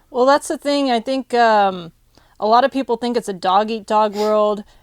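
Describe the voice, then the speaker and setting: On a very clean recording with a silent background, the sound is dry and close with no echo. A woman with an unremarkable speaking voice talks at a moderate pace, her fairly high pitch varying in an ordinary way. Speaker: podcast host. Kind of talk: interview questions, casual conversation.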